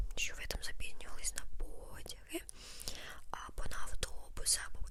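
A soft-spoken woman is whispering. Noticeable background noise runs beneath her voice. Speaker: ASMR creator. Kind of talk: ASMR storytime. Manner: whispered.

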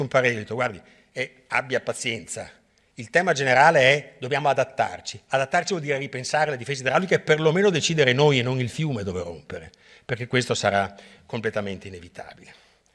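Against a quiet background, a man races along at a very fast pace with lively intonation and big swings in loudness. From Venice, Italy; Italy. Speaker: hydrology professor. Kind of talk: lecture. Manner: halting, many repetitions and fillers. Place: hall.

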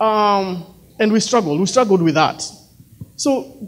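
A man speaks with a high pitch and lively intonation. There is light background noise. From Kenya, near Nairobi. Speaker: speaker sharing personal story; speaker. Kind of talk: inspirational talk. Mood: earnest, reflective. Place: hall. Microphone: handheld.

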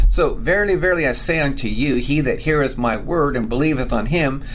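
A man is speaking. Music plays in the background. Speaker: bible teacher. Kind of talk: bible teaching with reading aloud. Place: home room. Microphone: webcam.

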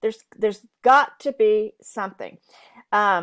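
With an American accent, a woman talks at a moderate pace against a quiet background. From US South, eastern North Carolina. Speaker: podcast guest. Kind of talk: interview. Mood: warm, earnest. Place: home room. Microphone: earbuds.

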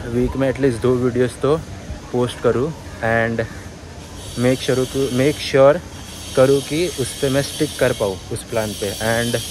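Noticeable background noise sits under a man speaking at a fairly slow pace, with long, frequent pauses. His intonation is fairly even, and the sound is dry with no echo. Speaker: vlogger. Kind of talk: casual vlog chat. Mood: reflective, candid. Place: street. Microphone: phone near.

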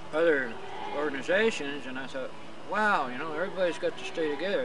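Over noticeable background noise, a man talks at a moderate pace with ordinary pitch variation, the sound dry with no echo. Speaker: interviewee. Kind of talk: interview answer. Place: open country. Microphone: handheld.

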